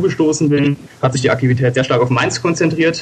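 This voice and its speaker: The fairly quick speech competes with noticeable background noise. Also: man. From Germany, Koblenz area (Rhineland-Palatinate). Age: 20s. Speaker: politician, party candidate. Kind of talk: interview.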